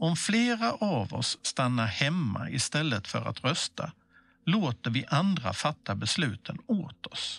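This man's fairly high voice has vocal fry and very wide pitch swings at a very slow pace. The sound is dry and close with no echo, and the background is quiet. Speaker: civic information presenter. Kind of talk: scripted explainer dialogue.

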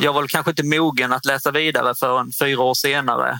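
A bright, sharp tone at a moderate pace, with monotone, flat intonation. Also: man. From northern Skåne, Sweden (Osby). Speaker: property management consultant, former footballer. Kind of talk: interview. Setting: studio booth at a trade fair. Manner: halting, many fillers.

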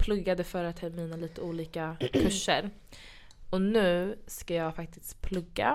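A woman talks at a fairly slow pace with fairly even intonation and a fairly low pitch. She has an unremarkable speaking voice. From Sweden. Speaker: podcast host. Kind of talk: casual chat.

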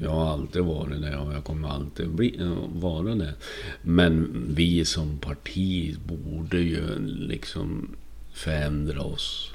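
Audible room echo surrounds a man speaking at a very slow pace. His voice is very deep and low in pitch, with ordinary pitch variation. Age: 50s. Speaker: podcaster. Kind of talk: personal monologue podcast. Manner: halting, frequent word repetitions; animated.

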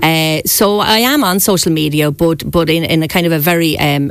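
Amid noticeable background noise, a woman with a very deep, low voice speaks at a moderate pace with ordinary pitch variation. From Ireland, Wexford town. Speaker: local politician, town mayor. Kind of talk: radio interview. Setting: radio studio.

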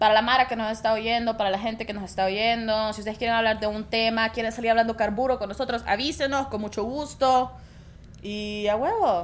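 Using fairly even intonation, a woman with a Salvadoran accent speaks at a fairly high pitch and a fairly quick pace. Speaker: podcast co-host. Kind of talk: casual chat.

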